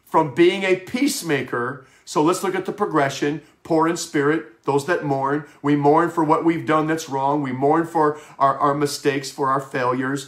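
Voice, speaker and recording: A man with an American accent speaks in a plain, everyday voice at a moderate pace, with fairly high pitch. His pitch varies in an ordinary way, and the background is quiet. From Wisconsin. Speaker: pastor. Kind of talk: sermon. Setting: home office broadcast. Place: home room. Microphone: webcam.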